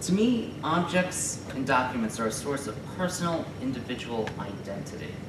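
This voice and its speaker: Noticeable background noise accompanies the speech. The pace is moderate with hardly any pauses. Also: man. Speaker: graduate student presenter. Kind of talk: conference presentation. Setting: stage with audience. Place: classroom. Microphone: camera far.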